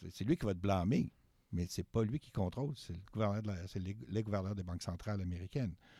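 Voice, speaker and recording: Talking at a fairly quick pace, a man with a fairly low pitch and a dark, mellow tone uses ordinary pitch variation, captured in a very clean recording with a silent background. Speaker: university professor of political economy. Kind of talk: interview. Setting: studio.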